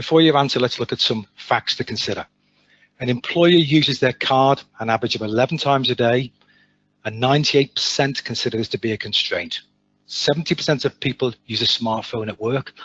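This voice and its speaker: A man with an English accent, medium pitch, ordinary pitch variation and a fairly quick pace. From England. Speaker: sales manager. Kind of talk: webinar presentation. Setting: online webinar.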